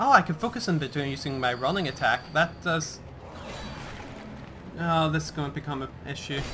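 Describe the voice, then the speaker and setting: Against noticeable background noise, a man with a fairly high pitch talks at a fairly quick pace, using ordinary pitch variation and long, frequent pauses. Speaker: gaming let's play host. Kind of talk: gameplay commentary.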